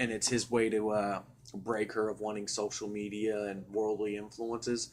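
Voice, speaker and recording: At a moderate pace, the speaker has a normal speaking voice. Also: man. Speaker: podcast host. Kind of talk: casual chat. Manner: casual, profane.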